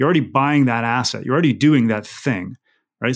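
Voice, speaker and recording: In a normal speaking voice, a man talks at a medium pitch with ordinary variation in it. Behind him the background is silent, on a very clean recording. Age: 30s. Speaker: real estate investor and developer. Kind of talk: interview conversation.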